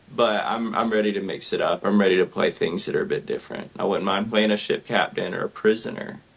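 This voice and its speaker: Amid noticeable background noise, a man with a Southern US accent talks at a very fast pace with hardly any pauses. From US South, southern Georgia. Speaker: actor. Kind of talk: interview.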